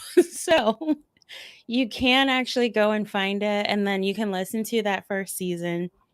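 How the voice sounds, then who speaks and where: This woman talks at a moderate pace with a medium pitch. Her intonation is lively. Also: dry, close sound with no echo. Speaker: doctor of Oriental medicine. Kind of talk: Q&A on a livestreamed summit panel. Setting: virtual summit livestream.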